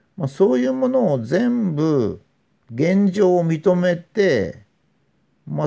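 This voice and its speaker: Very wide pitch swings in a man's dark, mellow tone. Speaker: commentator on philosophy. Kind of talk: philosophical monologue lecture. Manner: measured with frequent fillers.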